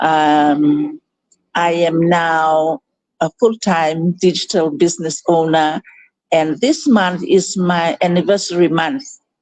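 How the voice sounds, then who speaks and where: A woman speaks very slowly in a fairly low voice, her loudness very even and her pitch varying in an ordinary way. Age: 60s. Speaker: digital business owner and coach, former executive. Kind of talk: live online interview. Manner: hesitant, many fillers.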